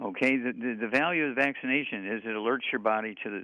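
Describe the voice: This man has a fairly low pitch. His intonation stays fairly even.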